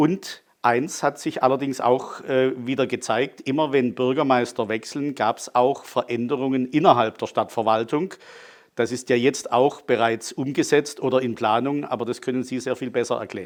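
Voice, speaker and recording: A man's medium-pitched voice, a normal speaking voice, at a moderate pace with fairly even intonation. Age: 60s. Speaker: city archivist. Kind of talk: interview.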